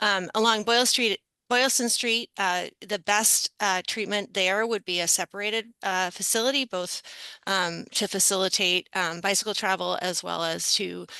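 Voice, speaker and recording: In a dry, close sound with no echo, a woman with a bright, sharp tone and vocal fry speaks at medium pitch and a moderate pace. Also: quiet background. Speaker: transportation planning consultant. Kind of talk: presentation at a public board meeting. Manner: many filler words and hesitations.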